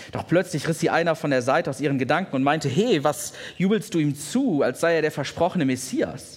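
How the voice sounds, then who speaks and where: A man speaks at a moderate pace with a fairly high pitch and a warm, somewhat breathy tone. The recording is very clean, with a silent background. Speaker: pastor. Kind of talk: sermon told as a retold story, bedtime-style storytelling. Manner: vivid, warm, descriptive narration.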